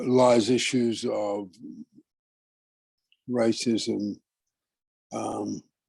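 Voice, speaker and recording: Fairly even intonation shapes a man's medium-pitched speech. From immigrant to Canada, British Columbia. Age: 80s+. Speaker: workshop leader. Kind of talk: lecture. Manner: halting, many fillers.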